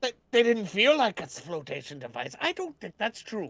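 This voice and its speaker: A put-on character voice, fairly high in pitch with very wide pitch swings, at a moderate pace. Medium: actual play.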